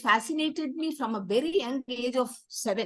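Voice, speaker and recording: With a Tamil Indian accent, a woman speaks at a moderate pace in a high, bright, sharp voice with lively intonation. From South India, Tamil. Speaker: theater activist and founder. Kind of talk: interview.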